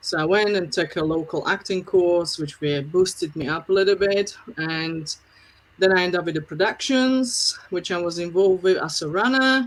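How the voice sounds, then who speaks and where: In a very clean recording with a silent background, a woman speaks with a Slovak accent. Her medium-pitched voice moves at a moderate pace with ordinary pitch variation. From Slovakia. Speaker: film producer. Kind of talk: interview.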